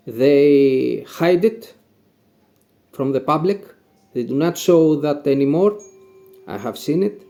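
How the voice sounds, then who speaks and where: Speaking very slowly with long, frequent pauses, a man with a Greek accent uses lively intonation at a fairly high pitch. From Greece (Macedonia region, near Pella/Vergina). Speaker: cherry farmer. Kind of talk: Q&A, casual explanation. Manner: halting, with fillers and self-corrections.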